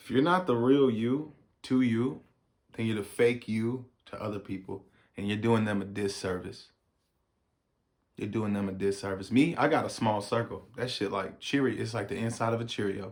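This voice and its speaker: With an American accent and an animated tone, a man speaks loudly at a medium pitch and moderate pace, using ordinary pitch variation and long, frequent pauses. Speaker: YouTube reaction host. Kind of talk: casual reaction commentary.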